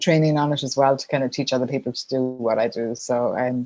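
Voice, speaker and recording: A woman with an Irish accent at a very fast pace, her pitch very deep and low, her tone dark and mellow, her intonation fairly even. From Ireland. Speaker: sponsorship consultant. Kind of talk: podcast interview.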